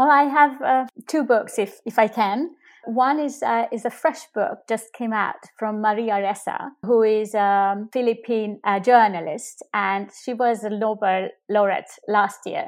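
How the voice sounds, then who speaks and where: A woman with a Hungarian accent speaks at a fairly slow pace and a fairly high pitch. Her pitch varies in an ordinary way, on a very clean recording with a silent background. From Hungary. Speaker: politician. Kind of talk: interview.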